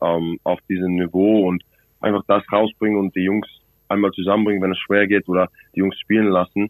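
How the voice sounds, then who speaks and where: A man talks at a fairly quick pace in a fairly low pitch. His intonation stays monotone and flat. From South Africa, Cape Town. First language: English (speaking German). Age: 20s. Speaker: rugby player. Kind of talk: phone interview. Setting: phone call. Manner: halting.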